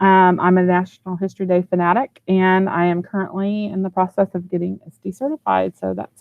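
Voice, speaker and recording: A woman with a Texan accent speaks at a moderate pace and medium pitch, in a dry sound with no echo. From Texas, Houston. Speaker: educational technology trainer, former teacher. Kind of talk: online training presentation. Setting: video call from office. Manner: casual, with many fillers. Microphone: video call.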